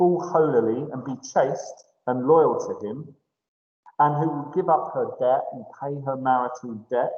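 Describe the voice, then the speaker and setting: A man with a fairly high pitch and ordinary pitch variation talks at a fairly slow pace, with audible room echo around him. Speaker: English teacher. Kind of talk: lecture.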